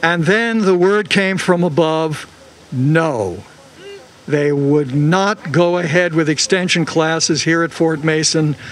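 Speaking at a very slow pace, a man shows ordinary pitch variation. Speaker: former older-adult student; speaker. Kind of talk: rally speech. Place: street. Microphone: handheld.

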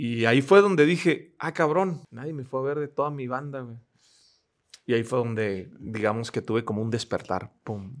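Over a quiet background, a man talks at a moderate pace with lively intonation. His loudness swings a lot. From Mexico, Ensenada, Baja California; Baja California, Mexico. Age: 30s. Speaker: motivational speaker. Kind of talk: casual interview chat, life story. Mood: reflective, earnest storytelling. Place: studio. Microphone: studio mic.

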